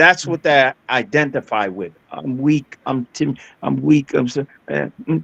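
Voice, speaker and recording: With a normal speaking voice, a man at medium pitch speaks at a fairly slow pace with lively intonation, in a dry, close sound with no echo. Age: 60s. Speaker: military veteran and martial artist. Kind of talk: panel discussion.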